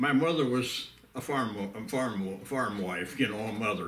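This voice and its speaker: At a moderate pace, a man speaks with a medium pitch and ordinary pitch variation. The recording has audible room echo and noticeable background noise. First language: Pennsylvania Dutch. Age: 90s. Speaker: elderly pioneer / WWII veteran. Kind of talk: oral history interview. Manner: halting, many fillers.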